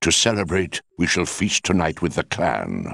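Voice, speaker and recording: A man puts on a character voice, very deep and low in pitch, at a fairly slow pace in a very clean recording with a silent background. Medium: video game. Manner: solemn, measured.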